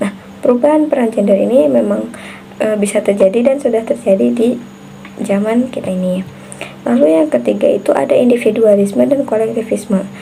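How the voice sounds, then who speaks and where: Over noticeable background noise, a woman talks fairly quickly at a fairly high pitch with lively intonation. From Central Java (Brebes), Indonesia. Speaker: university student. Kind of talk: recorded class assignment answer. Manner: hesitant with frequent fillers.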